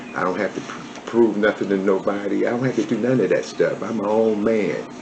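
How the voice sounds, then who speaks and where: Over noticeable background noise, a man with an American accent talks at a moderate pace. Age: 70s. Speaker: former prisoner, barber. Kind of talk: interview, life story. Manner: halting.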